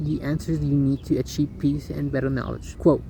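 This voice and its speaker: A man speaks fairly quickly, with noticeable background noise in the recording. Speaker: first-time video creator. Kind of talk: scripted monologue; casual chat. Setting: outdoors. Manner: fast. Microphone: poor audio, hard to hear.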